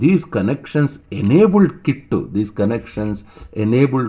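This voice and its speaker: A man with a South Indian accent, a dark, mellow tone and a fairly slow pace. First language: Telugu. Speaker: online teacher. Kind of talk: lecture. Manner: halting, with many fillers and repetitions.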